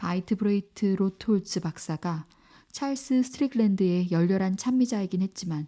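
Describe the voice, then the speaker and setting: At a moderate pace, a woman talks in a somewhat breathy, dark, mellow voice of medium pitch, with a calm, soothing tone and ordinary pitch variation. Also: very clean recording, silent background. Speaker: audiobook narrator. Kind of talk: audiobook reading of a classic novel.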